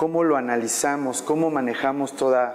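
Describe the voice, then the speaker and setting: Noticeable background noise sits behind a man speaking at medium pitch and a moderate pace, with fairly even intonation. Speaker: banking compliance expert, panelist. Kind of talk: panel discussion. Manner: halting, many fillers.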